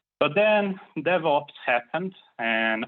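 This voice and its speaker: This is a man speaking. He has a Brazilian accent. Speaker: software developer. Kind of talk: conference talk. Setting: online talk.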